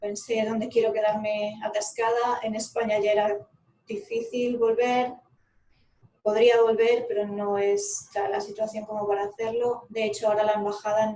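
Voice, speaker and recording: A woman's fairly high, monotone voice with flat intonation at a moderate pace. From Galicia, Spain. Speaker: remote-work coach and psychologist. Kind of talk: casual chat.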